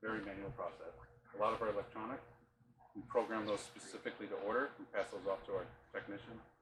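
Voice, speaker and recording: A man's very fast speech with long, frequent pauses over noticeable background noise. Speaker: parts department tour guide. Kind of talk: guided tour talk. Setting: warehouse tour with group. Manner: soft-spoken.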